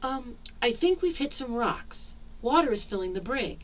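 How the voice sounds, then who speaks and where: A woman uses a put-on character voice, pitched high, at a moderate pace. Background noise is clearly audible. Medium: read story.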